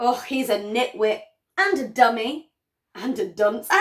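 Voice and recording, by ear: A natural-voiced read-aloud with lively intonation and a quiet background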